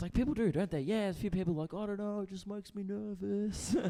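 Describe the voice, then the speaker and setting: Talking at a very fast pace, a man with a high voice speaks in an Australian accent. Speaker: stand-up comedian. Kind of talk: stand-up. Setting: stage with audience. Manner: animated.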